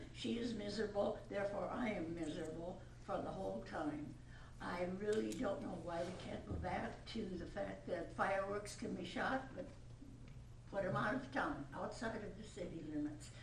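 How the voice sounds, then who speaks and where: A woman speaks at a moderate pace in a fairly low voice with very wide pitch swings. There is audible room echo and noticeable background noise. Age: 80s+. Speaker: resident speaking at public hearing. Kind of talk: public comment at council meeting. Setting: city council meeting.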